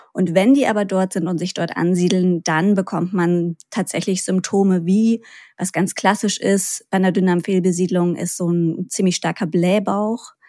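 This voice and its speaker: Recorded very cleanly over a silent background, a woman with a dark, mellow tone speaks with fairly even intonation. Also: medium pitch for a woman, moderate pace, hardly any pauses. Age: 30s. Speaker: gut health podcaster and patient expert. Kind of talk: interview.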